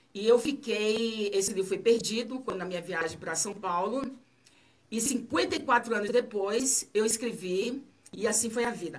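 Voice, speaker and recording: This is a woman with a normal speaking voice, pitched fairly high. She talks at a moderate pace with lively intonation. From Bahia, Brazil (Itabuna). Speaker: author. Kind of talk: radio interview. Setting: radio studio.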